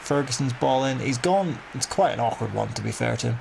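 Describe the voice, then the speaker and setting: An animated man at a moderate pace, ordinary pitch variation, noticeable background noise. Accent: strong Northern Irish. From Northern Ireland. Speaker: gaming youtuber. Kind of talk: gameplay commentary.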